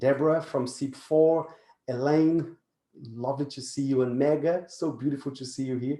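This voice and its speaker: A man with a non-native accent has a fairly high pitch and a dark, mellow tone. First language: not English. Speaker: positive psychology speaker. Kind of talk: webinar presentation. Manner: halting.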